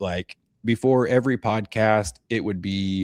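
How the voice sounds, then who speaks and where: Fairly low-pitched, a man speaks fairly slowly in an animated tone with ordinary pitch variation. The sound is dry and close, with no echo. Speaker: podcast host. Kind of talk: casual chat.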